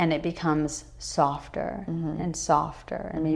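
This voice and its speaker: A woman talks at a moderate pace. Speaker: meditation and yoga teacher. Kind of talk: podcast interview answer about meditation.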